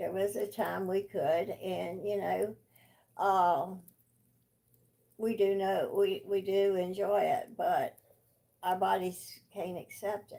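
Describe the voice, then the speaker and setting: In an American accent, the speaker talks at a very slow pace with long, frequent pauses. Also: woman. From US South. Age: 70s. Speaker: grandparent of channel owner. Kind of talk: casual chat.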